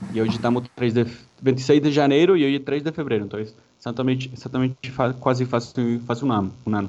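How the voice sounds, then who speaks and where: Very fast and dark, mellow in tone, a man's voice sits at medium pitch with ordinary pitch variation. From Colombia, Santa Marta (Caribbean coast). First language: Spanish (speaking Portuguese). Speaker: mechanical engineer. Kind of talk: interview. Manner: halting.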